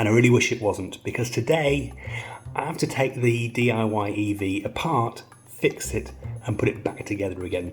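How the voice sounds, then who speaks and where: The voice is quiet and moves at a moderate pace, with music playing in the background. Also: man, medium pitch for a man, ordinary pitch variation. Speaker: DIY car mechanic YouTuber. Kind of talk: casual vlog to camera. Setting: outdoors in the rain.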